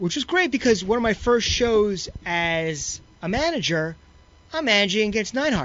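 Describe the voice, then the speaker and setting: With an American accent, the speaker moves at a moderate pace through very wide pitch swings. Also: man, high pitch for a man. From New York. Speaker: wrestling promoter and former wrestler. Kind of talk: interview. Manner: halting.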